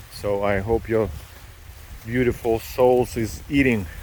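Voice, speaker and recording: A man's medium-pitched voice with a non-native accent and fairly even intonation, over noticeable background noise. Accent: foreign accent, moderate. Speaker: vlogger. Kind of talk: casual vlog narration. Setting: outdoors hiking by a lake in rain. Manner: relaxed, chatty.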